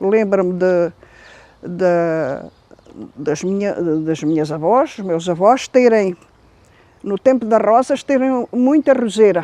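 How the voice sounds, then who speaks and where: Very slowly and with long, frequent pauses, a woman speaks in a dark, mellow tone. Her medium-pitched voice has lively intonation. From central Portugal, Ferreira do Zêzere. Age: 70s. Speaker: elderly local resident interviewed about her village. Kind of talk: oral history interview. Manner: halting.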